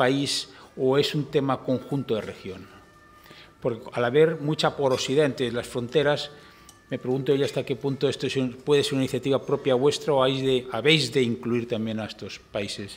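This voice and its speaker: Speaking in a Castilian accent, a man talks at a moderate pace and medium pitch with fairly even intonation. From Spain. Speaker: forum moderator. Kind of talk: moderated interview. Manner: formal. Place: hall. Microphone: podium.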